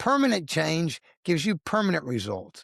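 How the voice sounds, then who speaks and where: A man's animated voice with very wide pitch swings, recorded dry and close with no echo. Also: very clean recording, silent background. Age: 60s. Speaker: lawyer and accountant sharing weight loss story. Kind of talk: interview testimony.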